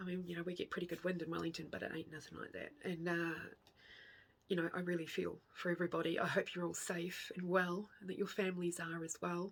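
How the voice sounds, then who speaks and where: Quiet and very fast, a woman speaks at a fairly low pitch with monotone, flat intonation. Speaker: craft vlogger. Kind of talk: casual chat.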